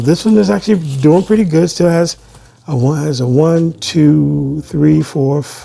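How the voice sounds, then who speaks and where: A man with an American accent talks at a moderate pace with ordinary pitch variation, with noticeable background noise behind him. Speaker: plant YouTuber. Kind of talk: casual unboxing chat. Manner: halting, many restarts and fillers.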